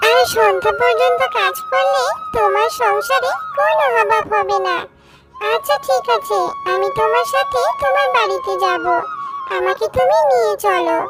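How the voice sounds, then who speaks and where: A cartoonish character voice with a fairly high pitch speaks at a fairly slow pace over loud music in the background. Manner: calm, benevolent.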